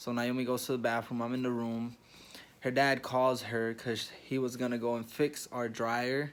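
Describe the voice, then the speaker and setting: A man's quiet voice with monotone, flat intonation. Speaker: vlogger. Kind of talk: casual vlog storytelling. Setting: hospital room. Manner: talking quietly.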